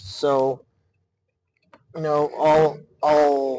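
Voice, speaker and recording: A man mumbles quietly at a fairly high pitch. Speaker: solo podcast host. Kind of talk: casual monologue. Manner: mumbling. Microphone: poor mic, sound quality issues.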